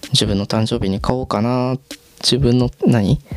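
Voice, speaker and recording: There is noticeable background noise behind a man speaking at a moderate pace. His medium-pitched voice stays monotone and flat. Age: 20s. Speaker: podcaster. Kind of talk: casual solo monologue. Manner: rambling, filler-heavy.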